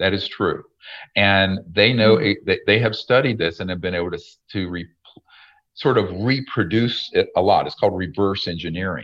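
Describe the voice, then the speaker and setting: A man speaks at a moderate pace in an ordinary speaking voice. His pitch sits fairly low and varies in an ordinary way. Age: 60s. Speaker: retired emergency doctor and UFO researcher. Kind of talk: interview. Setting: video call.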